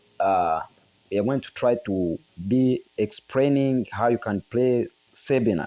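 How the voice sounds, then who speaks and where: A man speaks with a non-native accent. His tone is dark and mellow. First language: not English. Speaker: guitar teacher. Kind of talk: tutorial.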